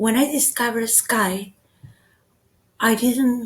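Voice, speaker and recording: With a Spanish accent, a woman talks at a fairly slow pace in a fairly high voice. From Argentina. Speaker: teacher. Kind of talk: web seminar presentation. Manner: halting.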